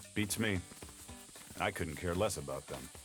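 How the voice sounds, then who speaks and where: A man does a robotic, put-on character voice at a very deep, low pitch. He speaks at a moderate pace over clear background noise. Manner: flat, robotic, dismissive.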